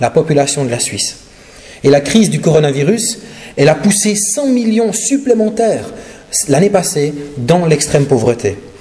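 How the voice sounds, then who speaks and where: A man's fairly slow speech with a slight Swiss French accent and very wide pitch swings, amid noticeable background noise and audible room echo. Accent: slight Neuchâtel Swiss French. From Switzerland, Neuchâtel region. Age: 40s. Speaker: guest preacher and charity representative. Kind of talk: sermon and charity presentation. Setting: church service. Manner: hesitant, many fillers.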